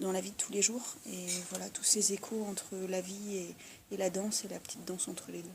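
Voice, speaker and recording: Through noticeable background noise, a woman at a medium pitch talks fairly quickly in a monotone, flat intonation, her loudness swinging widely. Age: 30s. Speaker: dancer. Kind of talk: interview. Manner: halting.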